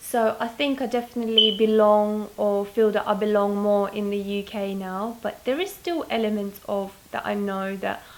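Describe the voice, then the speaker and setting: In a slight Lithuanian accent, a woman talks at a fairly slow pace with a medium pitch. Her intonation is monotone and flat, and background noise is noticeable. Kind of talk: interview.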